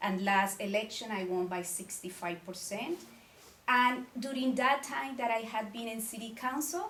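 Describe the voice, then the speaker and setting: With a Colombian accent and lively intonation, the speaker moves at a moderate pace amid audible room echo and noticeable background noise. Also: woman, fairly high pitch for a woman. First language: Spanish. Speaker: city council member and mayoral candidate. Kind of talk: candidate forum speech. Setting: community meeting with audience.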